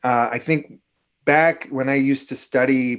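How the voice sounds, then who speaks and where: A man speaks with an Upper Midwest accent. His pitch varies in an ordinary way. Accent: Upper Midwest (Minnesota). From Minnesota. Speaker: climatologist. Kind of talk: interview about weather. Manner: animated.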